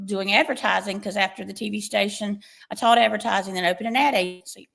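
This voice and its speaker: The speech moves at a very fast pace with vocal fry. Its intonation stays fairly even. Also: woman. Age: 60s. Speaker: skincare product formulator and business owner. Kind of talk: testimony.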